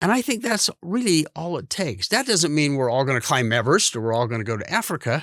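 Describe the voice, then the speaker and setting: With a western US accent, a man talks with lively intonation on a very clean recording with a silent background. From Idaho, US. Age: 70s. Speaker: podcast host. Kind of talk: interview conversation.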